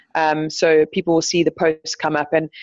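A woman talks at a fairly quick pace in an unremarkable speaking voice. Her pitch is fairly low. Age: 30s. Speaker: professional surfski paddler. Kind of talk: podcast interview.

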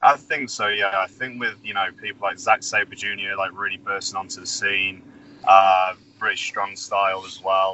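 A man with an English accent, moderate pace and big swings in loudness. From England. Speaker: professional wrestler. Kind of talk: interview.

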